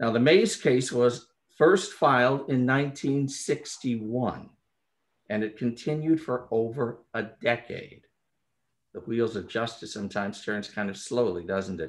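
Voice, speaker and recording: A man talks fairly slowly, his pitch varying an ordinary amount. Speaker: panel moderator. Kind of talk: formal introduction. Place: home room. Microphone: video call.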